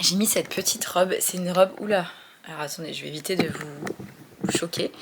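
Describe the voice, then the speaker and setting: Speaking at a very fast pace, a woman has a medium pitch and ordinary pitch variation, with noticeable background noise behind her. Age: 20s. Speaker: vlogger and small business owner. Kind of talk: casual vlog. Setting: at home.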